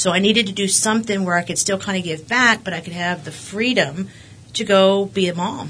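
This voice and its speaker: This woman's voice sits at a medium pitch and moves at a fairly quick pace. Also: ordinary pitch variation. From West Texas. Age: 40s. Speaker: school board candidate, realtor. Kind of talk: interview. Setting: studio.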